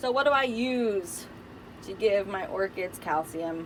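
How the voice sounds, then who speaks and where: With ordinary pitch variation, a woman's voice sits at a medium pitch. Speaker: orchid grower vlogger. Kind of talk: tutorial. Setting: greenhouse. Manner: slow; casual, hesitant with fillers.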